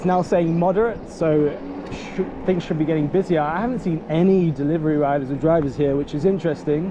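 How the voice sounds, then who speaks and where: A fairly high-pitched man speaking at a fairly quick pace with ordinary pitch variation, over noticeable background noise. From Nottingham, England. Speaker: food delivery rider and video creator. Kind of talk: vlog narration. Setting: outdoors. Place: bicycle. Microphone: phone near.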